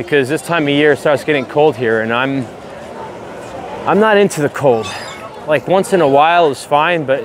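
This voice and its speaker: A man talks at a moderate pace in a dry sound with no echo, with noticeable background noise. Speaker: walking tour vlogger. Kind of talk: casual vlog chat. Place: street. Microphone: lapel.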